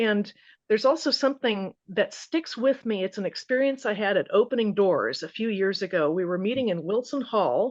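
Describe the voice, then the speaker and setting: A woman's plain, everyday voice with an American accent, fairly high pitched, with lively intonation at a moderate pace over a quiet background. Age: 60s. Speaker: study participant. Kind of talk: group Bible study discussion.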